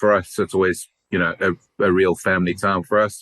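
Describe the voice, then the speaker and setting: A man with a South African accent talks at a moderate pace in a very deep, low voice. His intonation is flat and monotone, and the sound is dry and close with no echo. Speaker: company CEO. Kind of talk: podcast interview.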